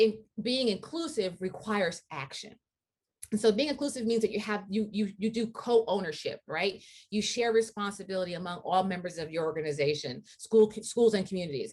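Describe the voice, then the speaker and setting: A woman at a fairly quick pace, somewhat breathy, with lively intonation. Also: medium pitch for a woman. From US, Haitian immigrant household. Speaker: diversity and equity speaker. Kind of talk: lecture.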